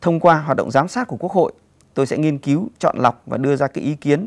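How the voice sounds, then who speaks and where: A man's fairly high voice at a fairly quick pace over a quiet background. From Cao Bằng, northern Vietnam; northern Vietnam. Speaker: parliamentary candidate, professor; candidate, professor. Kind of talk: campaign speech. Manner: formal. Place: studio.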